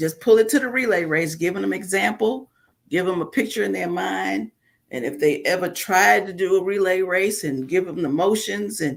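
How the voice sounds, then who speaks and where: Speaking at a moderate pace, a woman of medium pitch shows very wide pitch swings and vocal fry. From New York (Bronx). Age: 60s. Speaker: author, preacher's wife. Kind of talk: interview.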